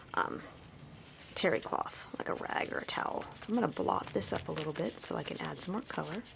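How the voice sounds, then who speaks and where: A woman whispers in a soft-spoken way at a fairly quick pace. Noticeable background noise is present. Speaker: art tutorial presenter. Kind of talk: tutorial. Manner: casual, relaxed; whispering, soft-spoken.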